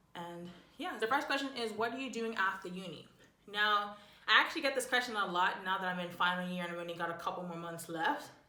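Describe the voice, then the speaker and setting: A woman speaks at a very fast pace with lively intonation and big swings in loudness. There is audible room echo and noticeable background noise. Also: medium pitch for a woman. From Bermuda. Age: 20s. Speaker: YouTuber, university student. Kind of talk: casual vlog chat.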